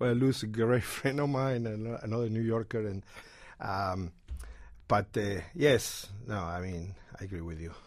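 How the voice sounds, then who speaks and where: In an Argentine accent, a man speaks fairly slowly with a fairly low pitch and ordinary pitch variation. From Argentina. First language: Spanish. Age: 60s. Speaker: guitar shop owner. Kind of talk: radio interview. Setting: studio.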